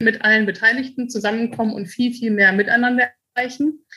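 A high-pitched woman's voice with a bright, sharp tone and fairly even intonation. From Germany, Münster. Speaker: company managing director. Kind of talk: interview.

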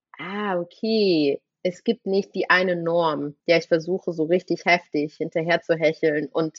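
A fairly low-pitched woman at a moderate pace with ordinary pitch variation. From Thuringia, eastern Germany (Rudolstadt). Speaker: actress and filmmaker. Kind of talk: casual chat. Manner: animated.

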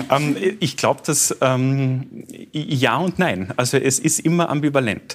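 A man with a Carinthian accent, fairly high in pitch, very slow, and very even in loudness. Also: ordinary pitch variation. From Carinthia, Austria. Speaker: radio host and author. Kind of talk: talk show conversation.

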